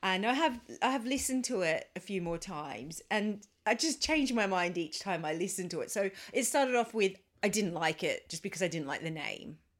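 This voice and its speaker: Speaking fairly quickly with an Australian accent, a woman lets her pitch swing very widely. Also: medium pitch for a woman. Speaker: podcast co-host. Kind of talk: casual chat. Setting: home recording.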